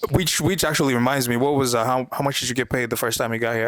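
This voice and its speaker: With an American accent, a man talks at a very fast pace and with fairly even intonation over noticeable background noise. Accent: Kenyan speaker who now sounds American. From Kenya. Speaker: podcast host. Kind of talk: casual chat.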